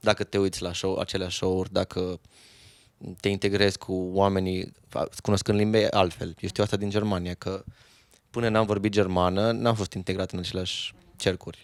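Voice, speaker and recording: In a very clean recording with a silent background and a dry, close sound free of echo, a man talks at a moderate pace in a fairly low, monotone voice with flat intonation. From Romania, Reghin (Transylvania). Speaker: musician. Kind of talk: casual chat.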